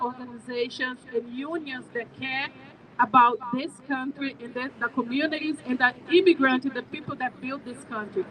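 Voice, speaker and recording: In a Brazilian Portuguese accent, a woman projects her high-pitched voice at a moderate pace with fairly even intonation. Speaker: immigrant advocacy director. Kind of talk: rally speech. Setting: outdoors with PA, State House steps.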